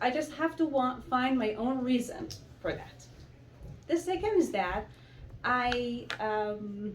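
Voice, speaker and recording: With long, frequent pauses, a woman speaks very slowly in a high voice with lively intonation. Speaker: immigrant, psychology graduate. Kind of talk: public speech.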